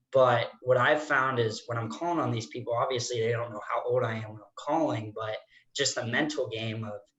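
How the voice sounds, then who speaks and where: A man is speaking. His pace is fairly quick. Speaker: financial planner, audience member. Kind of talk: audience question.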